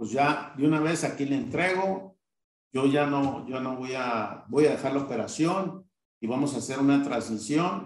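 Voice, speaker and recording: Fairly high in pitch with ordinary pitch variation, a man talks at a fairly slow pace. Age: 50s. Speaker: business owner. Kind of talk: interview. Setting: live online recording. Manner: halting.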